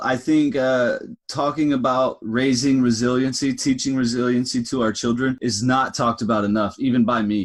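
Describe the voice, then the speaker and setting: A man with an American accent and an unremarkable speaking voice, medium in pitch, against a quiet background. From US South, Alabama. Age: 30s. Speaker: podcast host. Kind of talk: podcast interview.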